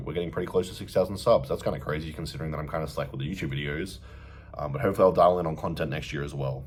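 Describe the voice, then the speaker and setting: Rattling with vocal fry, a man with an Australian accent talks at a very fast pace. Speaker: bodybuilder and fitness coach. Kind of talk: casual vlog update. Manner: casual, filler-heavy.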